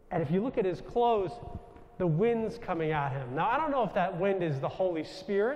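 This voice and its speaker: A loud man with a New York accent and a high pitch, at a moderate pace, over noticeable background noise. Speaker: Jesuit priest. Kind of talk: spiritual talk to audience. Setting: stage with audience.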